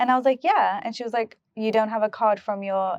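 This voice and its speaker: A woman's normal speaking voice, fairly high and fairly quick, with ordinary pitch variation and a dry, close sound with no echo. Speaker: beauty pageant winner. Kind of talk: interview answer.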